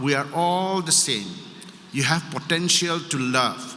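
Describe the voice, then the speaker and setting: Audible room echo surrounds a man whose fairly high voice moves at a fairly slow pace with ordinary pitch variation. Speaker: politician. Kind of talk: public speech.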